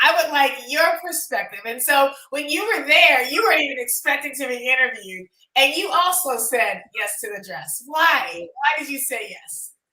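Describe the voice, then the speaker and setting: A woman projects her raised voice at a high pitch and a moderate pace, with hardly any pauses. Her pitch swings very widely, and her loudness swings a lot. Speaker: documentary producer and event host. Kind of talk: panel discussion at screening event. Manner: halting, many fillers.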